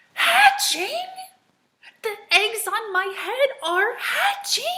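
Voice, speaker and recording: Using a put-on character voice, a woman speaks at a very slow pace with an extremely high pitch. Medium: read story. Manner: worried, fretful.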